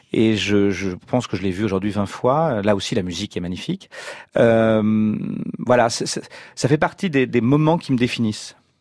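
At a moderate pace, a man speaks in an ordinary speaking voice with medium pitch and ordinary pitch variation on a very clean recording with a silent background. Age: 50s. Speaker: novelist. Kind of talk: radio interview.

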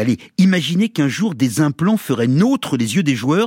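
In a dry, close sound with no echo, a man with a fairly high pitch speaks at a moderate pace, his pitch swinging very widely. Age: 60s. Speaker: radio sports columnist. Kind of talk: scripted commentary piece.

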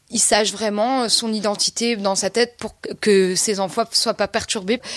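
Delivery is fairly slow with fairly even intonation. The sound is dry and close, with no echo. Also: woman. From rural France. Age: 20s. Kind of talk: testimony. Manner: halting.

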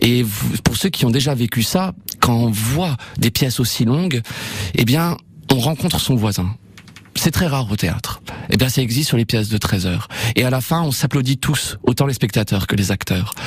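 The speaker uses lively intonation and takes long, frequent pauses against noticeable background noise. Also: man, very even loudness. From Normandy, France (Évreux). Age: 30s. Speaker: playwright and theatre director. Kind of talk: radio interview. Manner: hesitant, with fillers.

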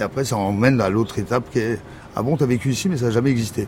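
Medium-pitched male speech, intonation fairly even, noticeable noise in the background. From Morocco. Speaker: filmmaker and actor. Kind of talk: casual chat. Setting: apartment at home.

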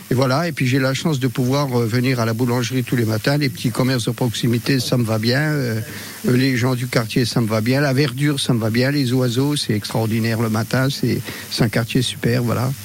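Amid noticeable background noise, a man speaks at a moderate pace with medium pitch, fairly even intonation and very even loudness. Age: old. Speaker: retired caricaturist, radio listener. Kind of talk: casual interview.

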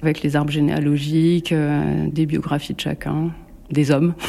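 A woman speaks over noticeable background noise. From central France, Bourges. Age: 40s. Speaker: sculptor. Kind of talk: interview. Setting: home workshop. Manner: hesitant.

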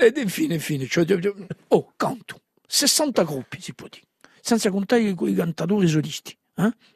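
A man speaks at a high pitch with very wide pitch swings and big swings in loudness. Long, frequent pauses break up his speech, and the sound is dry and close with no echo. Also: moderate pace. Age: 70s. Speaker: singer and songwriter. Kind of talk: interview.

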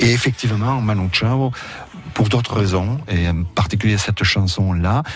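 A man's fairly low voice at a fairly slow pace, with very even loudness, ordinary pitch variation and noticeable background noise. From Roussillon, French Catalonia. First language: Catalan (speaking French). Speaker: university professor and writer. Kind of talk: radio interview. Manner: halting, with repetitions.

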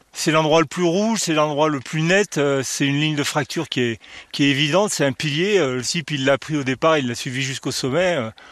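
Man with a fairly high pitch, talking at a moderate pace. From France, Grenoble. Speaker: comic book artist and climber. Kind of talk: casual chat. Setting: outdoors. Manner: halting.

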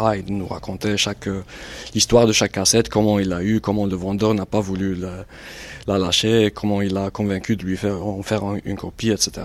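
A man with a fairly low pitch speaks at a fairly quick pace in a monotone, flat delivery. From Algeria, Batna. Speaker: writer and journalist. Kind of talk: casual chat. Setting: in a car.

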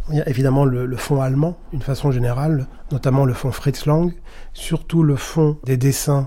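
Somewhat breathy, a man talks at a moderate pace. His pitch is fairly high, with a dark, mellow tone. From Paris area, France. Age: 50s. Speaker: film archivist and curator. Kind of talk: documentary interview.

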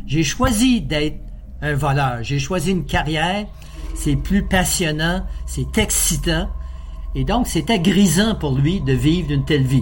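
A man's fairly high voice at a very slow pace, lively in intonation, with audible room echo and noticeable background noise. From Quebec, Beauce. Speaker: criminologist. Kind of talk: interview.

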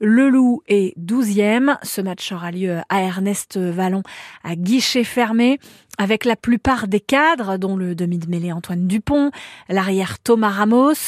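Speaking at a very slow pace, a woman with a medium pitch and ordinary pitch variation is heard in a dry, close recording with no echo, very clean and with a silent background. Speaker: local radio news reader. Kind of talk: news reading, regional radio bulletin. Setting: studio. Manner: brisk, even, formal newsreader delivery; neutral, serious tone for grim stories.

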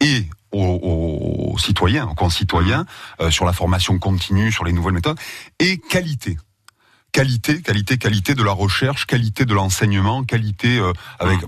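At a moderate pace, a man speaks with a fairly low pitch and a somewhat breathy voice. His intonation is lively, and the background is quiet. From southern France, Marseille. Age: 40s. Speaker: university president. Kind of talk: radio interview. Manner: halting, repeats words.

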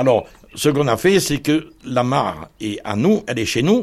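Here a man talks in an ordinary speaking voice. He goes at a moderate pace. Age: 60s. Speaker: homeowner in legal dispute. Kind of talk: interview testimony.

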